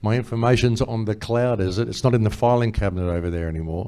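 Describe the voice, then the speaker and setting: A man with an Australian accent speaks at a fairly quick pace in a dark, mellow tone. His pitch is fairly low, and the recording is very clean with a silent background. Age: 60s. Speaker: conference speaker. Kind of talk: panel discussion. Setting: stage with audience. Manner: animated.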